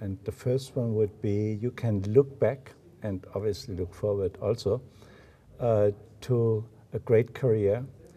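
A man's somewhat breathy, dark, mellow voice at a very slow pace, with fairly even intonation. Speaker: business school host. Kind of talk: interview. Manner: halting. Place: meeting room.

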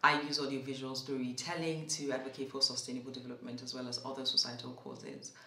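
A woman with a Nigerian accent talks at a very fast pace with hardly any pauses, in a very deep, low, monotone, flat voice. Audible room echo and light background noise are present. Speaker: voice actor. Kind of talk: casual talk to camera. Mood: warm, grateful. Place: home room.

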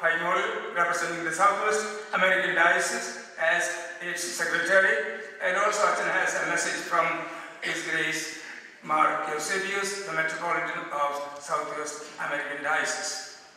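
A man with a high-pitched voice speaks in fairly even intonation, with strong echo filling the room. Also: moderate pace. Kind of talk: formal welcome address. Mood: solemn, respectful. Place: hall.

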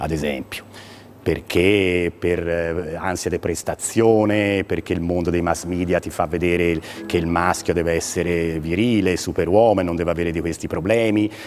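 A man at a moderate pace with fairly even intonation, over light background noise. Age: 50s. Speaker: urologist; guest. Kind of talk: TV interview. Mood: calm, explanatory. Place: studio. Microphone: lapel.

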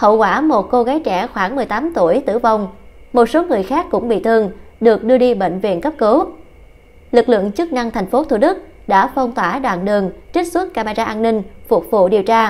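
A woman with a normal speaking voice talks at a fairly quick pace. Her fairly high pitch moves in lively intonation. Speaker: news reader. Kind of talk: news reading.

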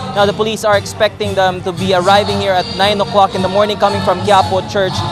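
A man at a very fast pace, dry sound with no echo, music in the background. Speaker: field news reporter. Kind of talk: live news report. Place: street. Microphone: handheld.

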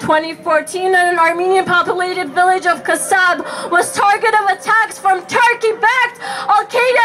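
Clear music plays in the background as a woman speaks at an extremely high pitch. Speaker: spoken word poet. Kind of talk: spoken word poetry performance. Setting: outdoors at a protest. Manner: impassioned. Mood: grieving, defiant, passionate. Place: stage. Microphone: camera far.

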